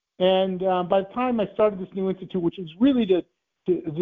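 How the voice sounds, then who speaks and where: A man with a high pitch and an American accent speaks with lively intonation. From US Midwest, Ohio. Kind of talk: interview.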